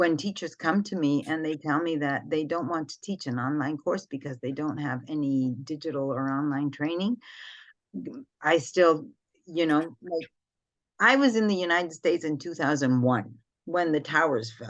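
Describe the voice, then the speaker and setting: With a very deep, low pitch and ordinary pitch variation, a woman speaks at a moderate pace against a quiet background. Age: 60s. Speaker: school principal and educator. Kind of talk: podcast discussion. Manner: animated.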